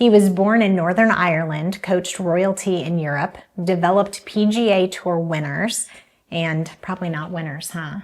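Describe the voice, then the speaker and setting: A woman's fairly low voice, a normal speaking voice, at a moderate pace with fairly even intonation. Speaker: podcast host. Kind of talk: podcast intro.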